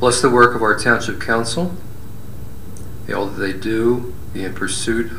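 A man's voice at a fairly slow pace, with audible room echo and light background noise. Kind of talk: prayer. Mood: solemn, reverent. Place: hall.

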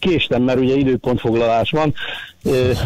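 A man's voice sits at medium pitch, keeping fairly even intonation and a moderate pace. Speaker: caller. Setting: phone call. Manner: halting. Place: studio.

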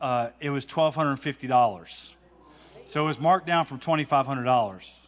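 In a relaxed tone, a man speaks at a very slow pace with ordinary pitch variation. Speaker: congregation member giving a testimony. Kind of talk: testimony, casual storytelling. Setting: church. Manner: relaxed, humorous. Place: church. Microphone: handheld.

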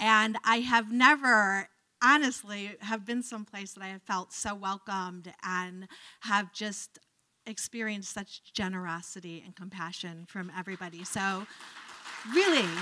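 A woman with an American accent speaks fairly slowly in a bright, sharp tone, with ordinary pitch variation and big swings in loudness against a quiet background. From Cleveland, Ohio, US; Ohio. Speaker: professor of religious studies; guest lecturer. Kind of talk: lecture. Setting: lecture hall with audience. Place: hall. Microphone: handheld.

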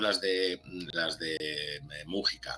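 A man speaks with ordinary pitch variation while faint music plays in the background. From Spain, Barcelona; Catalonia, Spain. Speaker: documentary channel creator; interview guest. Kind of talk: casual interview chat. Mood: relaxed, conversational. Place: home room. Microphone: webcam.

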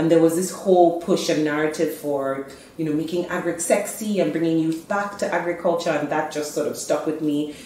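Hardly pausing at all, a woman speaks amid audible room echo and light background noise. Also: fairly low pitch for a woman, fairly even intonation. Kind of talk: interview answer. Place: office.

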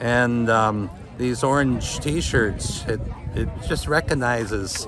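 A man speaks over noticeable background noise. The sound is dry with no echo. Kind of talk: interview answer. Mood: calm, reflective. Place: street. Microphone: phone near.

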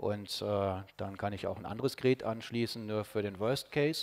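A man's medium-pitched voice moves at a moderate pace, its intonation fairly even. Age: 40s. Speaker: radio engineer and ham radio amateur; conference presenter. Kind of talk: conference talk. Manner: hesitant, many filler sounds. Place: hall. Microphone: podium.

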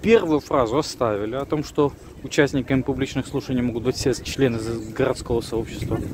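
A man speaks at a moderate pace. The sound is dry with no echo and has light background noise. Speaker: civic activist video blogger. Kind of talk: video commentary. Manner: hesitant with fillers. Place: street. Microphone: phone near.

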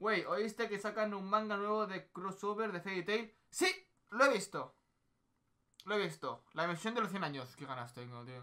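Over a quiet background, a man uses a raised, projected voice with lively intonation at a moderate pace. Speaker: streamer. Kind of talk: casual stream chat reacting to anime and reading chat. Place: home room. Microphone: headset.

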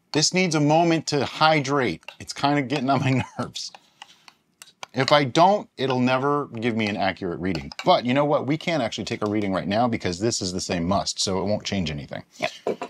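A man talks fairly quickly, his pitch swinging very widely, with light background noise behind him. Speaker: home brewing video host. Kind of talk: casual tutorial. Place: home room.

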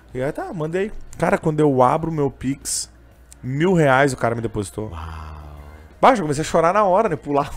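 A man's fairly high voice, lively in intonation, at a moderate pace with long, frequent pauses. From southern Brazil, Canoas (Rio Grande do Sul); Rio Grande do Sul, Brazil. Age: 20s. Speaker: street vendor and gospel singer; street vendor. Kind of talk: interview conversation. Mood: emotional, earnest storytelling. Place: studio. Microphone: studio mic.

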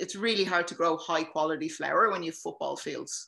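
With an Irish accent, a woman speaks at a fairly low pitch in a bright, sharp tone, with ordinary pitch variation against a quiet background. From Ireland. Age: 30s. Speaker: cannabis patient advocate; guest. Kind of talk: casual chat. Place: home room. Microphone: video call.

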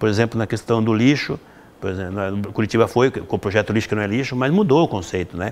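This man's fairly low voice races at a very fast pace, its pitch varying in an ordinary way. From Rio Grande do Sul, Brazil. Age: 50s. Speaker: mayoral candidate and educator; candidate, educator. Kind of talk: interview. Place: classroom.

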